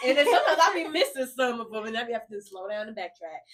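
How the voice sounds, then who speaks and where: A woman's animated, very fast speech at a fairly high pitch with very wide pitch swings. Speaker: podcast co-host. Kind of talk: casual faith chat.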